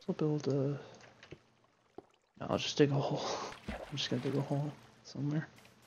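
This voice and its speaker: The speech moves at a fairly quick pace, with long, frequent pauses. Noticeable background noise is present. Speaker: gaming video creator. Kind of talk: gameplay commentary. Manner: soft-spoken; halting. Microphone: too quiet.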